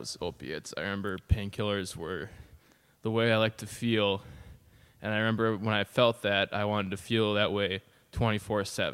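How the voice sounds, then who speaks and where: The speaker talks at a fairly quick pace with an Upper Midwest accent and ordinary pitch variation. The recording is very clean, with a silent background. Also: man. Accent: Upper Midwest American. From northern Wisconsin (Phelps). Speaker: recovering addict, former burglar. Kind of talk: podcast interview, personal story. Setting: podcast studio with microphone. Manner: hesitant, many fillers.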